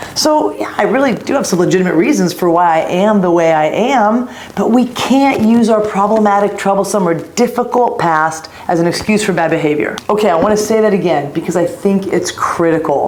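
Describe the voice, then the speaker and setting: Speaking at a fairly quick pace with hardly any pauses, a woman at medium pitch uses lively intonation and very even loudness, with audible room echo and noticeable background noise. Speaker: leadership coach. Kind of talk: motivational talk. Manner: fast.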